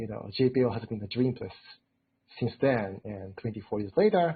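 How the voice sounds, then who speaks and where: A man with a Japanese accent, medium pitch and a moderate pace. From Japan, Tokyo. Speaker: robotics engineer. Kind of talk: interview. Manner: hesitant, many fillers.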